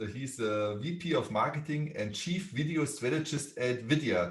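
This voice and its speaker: With a strong German accent, a man speaks fairly slowly in a somewhat breathy voice with lively intonation. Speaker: podcast host. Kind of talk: podcast interview.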